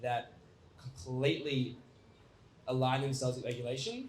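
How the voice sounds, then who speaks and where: A man speaks with monotone, flat intonation amid audible room echo and noticeable background noise. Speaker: panelist at crypto meetup. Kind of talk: panel discussion.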